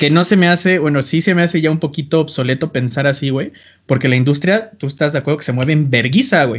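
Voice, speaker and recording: Speaking at a very fast pace, a man with a fairly high pitch sounds somewhat breathy, his pitch varying in an ordinary way. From Mexico, small town. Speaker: podcast host and music producer. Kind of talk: casual chat.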